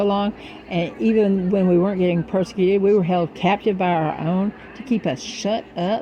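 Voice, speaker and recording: A woman talks at a moderate pace and varies her pitch in an ordinary way while noticeable background noise carries on. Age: 60s. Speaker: spiritual vlogger. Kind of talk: spiritual monologue to camera. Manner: rambling, informal with swearing.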